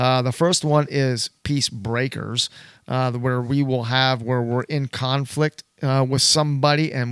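A man with a plain, everyday voice at a medium pitch, fairly slow pace and fairly even intonation, in a dry, close sound with no echo. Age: 60s. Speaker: church elder, podcast host. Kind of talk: casual panel discussion.

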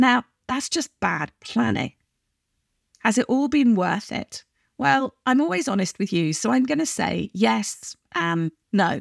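A woman speaks at a fairly slow pace with vocal fry and very wide pitch swings, in a dry, close recording with no echo. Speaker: podcast host and business coach. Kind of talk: solo podcast monologue.

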